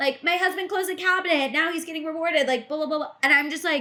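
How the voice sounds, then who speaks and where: A woman's raised, projected voice carries an animated tone. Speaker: pop culture podcast co-host. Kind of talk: casual chat. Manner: loud.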